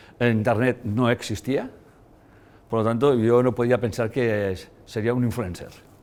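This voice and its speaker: A man speaks at a fairly slow pace in a flat, monotone delivery. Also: medium pitch for a man. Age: 60s. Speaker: lecturer. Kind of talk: lecture. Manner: halting.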